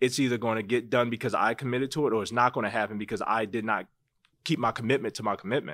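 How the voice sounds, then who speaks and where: A man with an American accent, medium pitch and ordinary pitch variation, in a very clean recording with a silent background. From Baltimore, US. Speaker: real estate agent, former basketball player. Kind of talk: interview.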